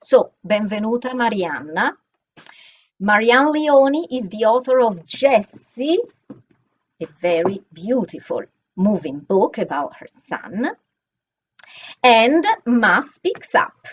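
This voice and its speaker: A woman with an Italian accent speaks at a very slow pace with long, frequent pauses. Her fairly high voice makes very wide pitch swings and big swings in loudness. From Italy, Florence. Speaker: bookstore event coordinator and moderator. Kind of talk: moderated panel introduction, reading bios. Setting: video call event.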